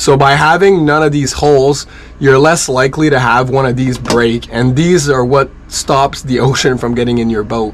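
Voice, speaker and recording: Against noticeable background noise, a man of medium pitch speaks at a moderate pace with fairly even intonation. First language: French. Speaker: sailboat liveaboard vlogger. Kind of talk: tutorial. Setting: aboard a sailboat. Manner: casual.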